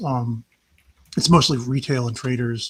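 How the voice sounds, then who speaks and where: A woman's somewhat breathy voice moves along at a moderate pace. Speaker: stock market chart analyst livestream host. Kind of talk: live chart analysis talk. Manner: halting, many fillers.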